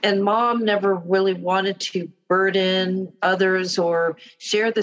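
With an American accent and a normal speaking voice, a woman talks at a fairly slow pace, her pitch medium and her intonation fairly even. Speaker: daughter of veteran. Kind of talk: casual interview.

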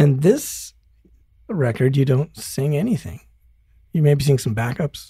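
Somewhat breathy and dark, mellow in tone, a man with an American accent speaks at a fairly high pitch, leaving long, frequent pauses. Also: ordinary pitch variation, fairly slow pace. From US, Denver. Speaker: podcast host and musician. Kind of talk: casual interview chat.

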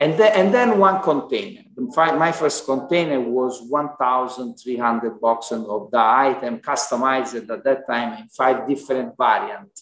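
A man speaks at a fairly slow pace with hardly any pauses. His pitch is medium and his intonation is lively. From Italy. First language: Italian. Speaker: Amazon seller and entrepreneur. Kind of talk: casual interview conversation.

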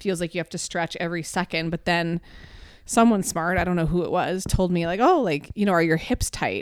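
This woman has an ordinary speaking voice, pitched fairly low, with fairly even intonation. She talks at a fairly quick pace, and the sound is dry and close with no echo. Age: 30s. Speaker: fitness podcast co-host. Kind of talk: casual chat.

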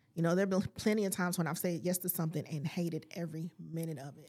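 Very fast in pace, a woman speaks with a fairly low pitch, a dark, mellow tone and a somewhat breathy quality. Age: 40s. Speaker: life coach and podcaster. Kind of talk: casual chat. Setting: studio.

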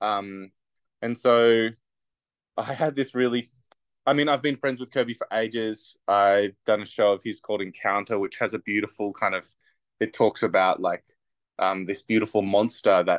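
With an Australian accent, a man speaks with fairly even intonation and long, frequent pauses, the sound dry and close with no echo over a quiet background. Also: medium pitch for a man, moderate pace. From Australia, Bega NSW. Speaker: theatre maker and performer. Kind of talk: casual interview.

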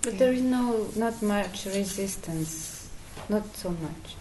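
A woman with a Polish accent speaks at a very slow pace and medium pitch. Her pitch varies in an ordinary way, and there is noticeable background noise. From Poland. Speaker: satsang attendee asking question. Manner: halting.

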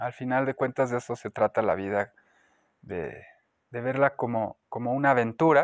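At a fairly slow pace, a speaker with a Mexican accent is heard in a very clean recording with a silent background and a dry, close sound with no echo. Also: man. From Mexico, León, Guanajuato. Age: 30s. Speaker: spiritual healer and Reiki practitioner. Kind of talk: interview. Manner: hesitant, many fillers.

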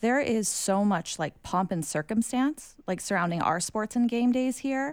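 In an American accent, a woman speaks with a normal speaking voice at a moderate pace. Her pitch variation is ordinary, and the recording is very clean with a silent background. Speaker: podcast host. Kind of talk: casual interview.

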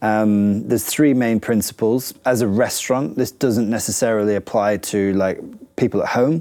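Here a man with a northern English accent speaks at a moderate pace in a fairly low, dark, mellow voice, with ordinary pitch variation and very even loudness. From northern England. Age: 30s. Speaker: chef and restaurant owner. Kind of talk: interview. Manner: hesitant, many fillers.

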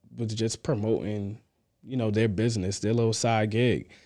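A man with an American accent and a dark, mellow tone, at a moderate pace, in a very clean recording with a silent background. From New York (Queens, Long Island). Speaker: therapist and entrepreneur. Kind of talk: casual chat.

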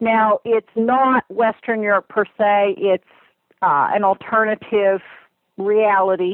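An American-accented woman speaks at a very slow pace with a fairly high pitch. Her intonation is fairly even, and her loudness stays very even. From US, near Lake Erie. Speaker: fantasy author. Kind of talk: interview.

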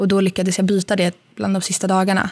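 A woman's voice at medium pitch. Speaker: podcast co-host, exchange student. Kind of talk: casual chat.

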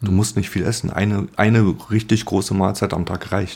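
A man's fairly low, somewhat breathy voice moves at a moderate pace with ordinary pitch variation. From born in Poland, grew up in Germany. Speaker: painter with multiple sclerosis. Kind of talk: interview. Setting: at the guest's home. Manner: halting.

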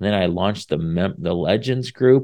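Against a quiet background, a man with a Midwestern US accent speaks at a moderate pace in a fairly low pitch with lively intonation. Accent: US Midwest. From Indiana. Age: 40s. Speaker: podcast host. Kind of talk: faith-based encouragement talk. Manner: casual, with many fillers.

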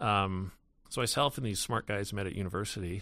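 A man with a Canadian accent talks at a moderate pace with fairly even intonation and a bright, sharp tone. The recording is very clean, with a silent background. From British Columbia interior, Canada (Salmon Arm). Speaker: tech company founder and CEO. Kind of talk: interview conversation. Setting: studio. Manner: hesitant, many fillers.

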